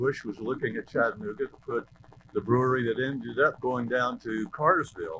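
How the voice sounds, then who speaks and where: Over noticeable background noise, a man talks at a fairly quick pace and a medium pitch with ordinary pitch variation. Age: 70s. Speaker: former city mayor. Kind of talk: commemorative speech.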